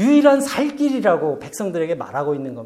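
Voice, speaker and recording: Moving through very wide pitch swings, a man speaks at a moderate pace with a dark, mellow tone. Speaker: pastor. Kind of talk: sermon. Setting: church.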